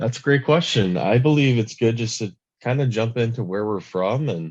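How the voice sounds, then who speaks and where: Against a quiet background, a man with an American accent uses an ordinary speaking voice and ordinary pitch variation. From Michigan, US. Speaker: podcast host and media business owner. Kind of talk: casual chat.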